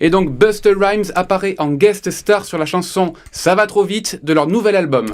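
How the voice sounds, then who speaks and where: Barely pausing, a man with a high voice speaks at a fairly slow pace with ordinary pitch variation. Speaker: radio columnist. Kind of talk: radio chronicle.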